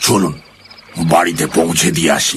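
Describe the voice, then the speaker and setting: Doing a put-on character voice, a man sounds raspy in a very deep, low pitch. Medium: audio drama. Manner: jovial, evasive.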